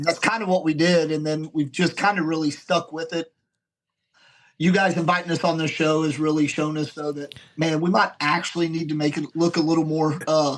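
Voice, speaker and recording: Fairly quick and monotone, a man with an American accent speaks at a fairly high pitch with flat intonation. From Oklahoma. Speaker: cornhole podcaster, player. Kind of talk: casual chat.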